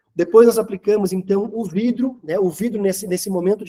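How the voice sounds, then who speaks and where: A man speaks in a high pitch with ordinary pitch variation and a dark, mellow tone. The sound is dry and close, with no echo. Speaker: manufacturer representative. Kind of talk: product presentation.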